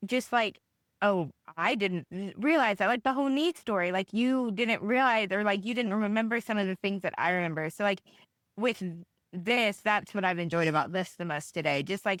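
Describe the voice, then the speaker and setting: On a very clean recording with a silent background and a dry, close sound with no echo, a woman in a Tennessee accent speaks at a moderate pace and medium pitch with lively intonation. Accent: Southern US (Tennessee). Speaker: podcast guest, host's sister. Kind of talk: casual chat.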